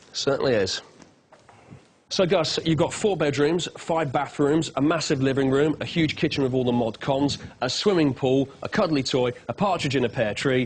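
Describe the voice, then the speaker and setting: A man speaks at a moderate pace in an English accent, his fairly high voice held at a very even loudness over noticeable background noise. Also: ordinary pitch variation. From England. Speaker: travel show presenter. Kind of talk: on-location interview. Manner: animated.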